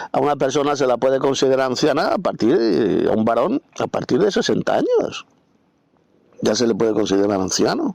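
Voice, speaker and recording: This man keeps a moderate pace, and the sound is dry and close with no echo. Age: 60s. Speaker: Bible teacher. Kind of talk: Bible commentary lecture. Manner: spontaneous, unscripted.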